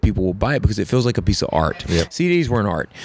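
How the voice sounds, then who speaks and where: A man speaks very fast in an American accent. His intonation is lively. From US South, South Carolina (Camden). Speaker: songwriter and musician. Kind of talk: casual interview. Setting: in person at a hotel. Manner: hesitant, many fillers.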